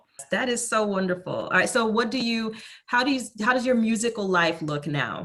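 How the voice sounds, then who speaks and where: The speaker has an ordinary speaking voice. Intonation is lively. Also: woman. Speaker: interviewer. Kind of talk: interview host talk.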